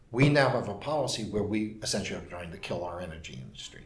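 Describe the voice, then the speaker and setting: In a New York accent, a somewhat breathy man talks at a fairly quick pace with audible room echo. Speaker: urban policy commentator. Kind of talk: interview.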